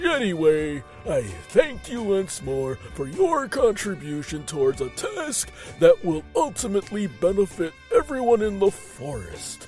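A man's put-on character voice, high-pitched for a man, at a moderate pace over clear background music. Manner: smug, magnanimous; mocking, pompous, florid.

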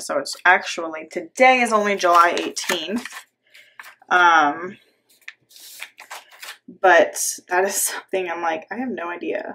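Over light background noise, a woman with a fairly low pitch and a bright, sharp tone talks at a moderate pace with long, frequent pauses. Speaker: planner hobby vlogger. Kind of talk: casual vlog chat.

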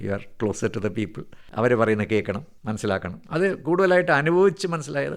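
With vocal fry, a man at medium pitch speaks with very wide pitch swings. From Kerala, Thiruvananthapuram. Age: 60s. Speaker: retired senior civil servant. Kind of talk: radio interview.

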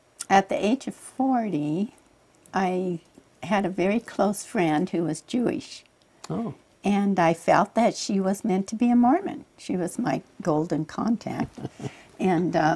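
Speaking at a fairly slow pace, a woman uses a dark, mellow tone that is somewhat breathy, with lively intonation. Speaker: interview guest. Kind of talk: interview answer. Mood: warm, occasionally laughing. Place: studio. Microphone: lapel.

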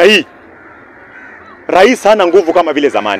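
A man with lively intonation at a moderate pace, the sound dry with no echo. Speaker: speaker. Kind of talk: political speech in open-air forum. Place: open country. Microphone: handheld.

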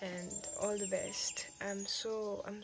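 Noticeable background noise behind a female speaker. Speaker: vlogger. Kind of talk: casual talk to camera. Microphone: phone near.

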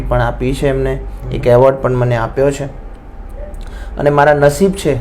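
His voice carries audible room echo. Noticeable background noise runs behind this man as he talks. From Visnagar, Mehsana, north Gujarat. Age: 20s. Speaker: singer. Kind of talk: interview.

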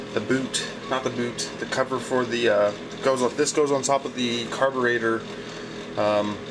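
A man speaks in a flat monotone over noticeable background noise. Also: moderate pace. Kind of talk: casual vlog chat. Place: workshop. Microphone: camera far.

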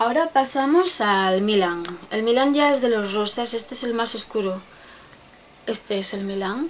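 A woman speaks at a moderate pace with lively intonation over light background noise. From Spain. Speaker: beauty vlogger. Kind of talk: makeup product show-and-tell; casual makeup review chat. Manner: casual, chatty; halting. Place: home room. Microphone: webcam.

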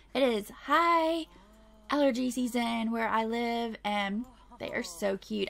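Lively intonation from a woman with a fairly high voice, set against noticeable background noise. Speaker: gaming video creator. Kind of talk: let's play commentary. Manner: animated.

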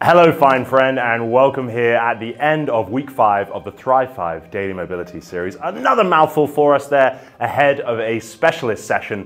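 Speaking with hardly any pauses, a man uses lively intonation. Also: moderate pace. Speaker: fitness coach. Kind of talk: tutorial. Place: studio.

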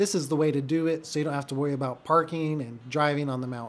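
Here a man talks with a fairly high pitch. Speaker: real estate agent and video creator. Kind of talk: casual vlog narration. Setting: outdoors at a ski resort. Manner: rambling, informal.

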